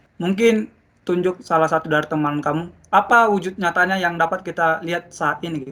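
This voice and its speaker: Loud and bright, sharp-toned, a man speaks at a high pitch and a fairly quick pace with ordinary pitch variation. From Indonesian mountain region. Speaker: teacher. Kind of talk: classroom lesson.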